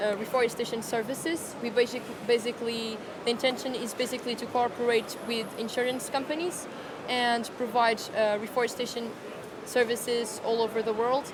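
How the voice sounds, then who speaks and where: Through noticeable background noise, a woman with a Portuguese accent and a high pitch speaks at a moderate pace in a monotone, flat intonation. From Portugal. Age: young. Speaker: startup founder. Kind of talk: interview. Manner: hesitant.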